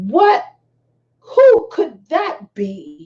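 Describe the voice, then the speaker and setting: Extremely high pitch from a woman doing a put-on character voice. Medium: read story. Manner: warm, kindly.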